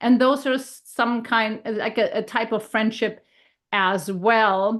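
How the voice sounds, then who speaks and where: A woman's fairly high voice with a German accent, very slow in pace and fairly even in intonation, over a quiet background. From Germany. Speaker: health and leadership coach. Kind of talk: casual podcast conversation.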